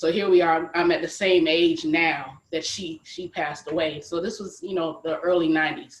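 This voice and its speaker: A woman with an unremarkable speaking voice and an American accent speaks at a moderate pace with hardly any pauses, fairly low pitch and fairly even intonation. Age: 40s. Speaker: HIV advocate. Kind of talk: panel discussion.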